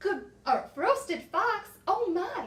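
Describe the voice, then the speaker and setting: The voice is extremely high. It is a put-on character voice. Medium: read story.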